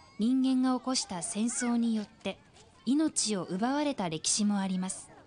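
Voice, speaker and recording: Over background music, a woman with a high pitch talks at a fairly slow pace, her intonation lively. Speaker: news narrator. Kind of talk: TV news narration.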